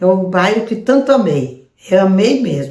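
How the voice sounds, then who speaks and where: Somewhat breathy, the voice carries a dark, mellow tone. Its intonation is lively, though the pace stays fairly slow. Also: woman. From southern Brazil, Rio Grande do Sul (Passo Fundo area). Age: 80s+. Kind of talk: testimony.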